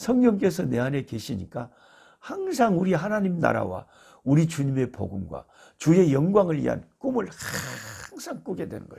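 A man's loudness swings widely as he talks at a moderate speed. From South Korea, Jeolla (Beolgyo). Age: 60s. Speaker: missionary, Bible teacher. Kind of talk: Bible teaching talk. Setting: recording at his rural family home.

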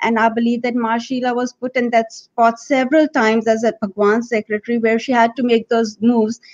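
A woman speaks at a moderate pace in a plain, everyday voice. Her pitch sits fairly high. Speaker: writer and addictions counselor. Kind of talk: panel discussion.

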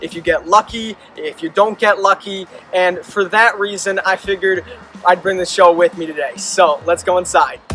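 Music plays behind a man speaking at a moderate pace in a raised, projected voice. His intonation is monotone and flat, and the sound is dry with no echo. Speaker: costume maker vlogger. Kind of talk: casual vlog chat.

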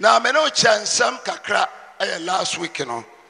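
A man with a Ghanaian accent sounds animated, his pitch swinging very widely. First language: Twi. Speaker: preacher. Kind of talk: sermon, mixing Twi and English, with prayer and scripture reading. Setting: church with congregation. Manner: animated, forceful preaching with call-and-response. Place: church. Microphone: handheld.

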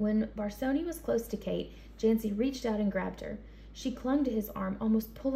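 The speaker is reading aloud in a natural voice. The delivery suits a read text.

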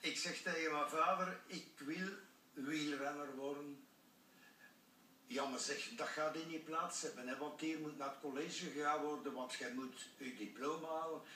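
A man's fairly high voice at a fairly slow pace, ordinary pitch variation, light background noise and audible room echo. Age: 80s+. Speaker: former professional cyclist. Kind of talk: TV interview answer. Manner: upbeat. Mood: cheerful, storytelling. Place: studio.

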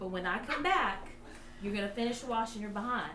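Audible room echo and light background noise accompany the recording. A woman speaks at a moderate pace. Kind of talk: improv scene dialogue in character. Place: stage. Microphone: camera far.

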